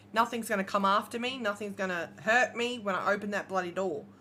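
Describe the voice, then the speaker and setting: With an Australian accent, a woman speaks at a medium pitch and a moderate pace. Her tone is bright and sharp, and her intonation fairly even. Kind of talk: casual livestream chat.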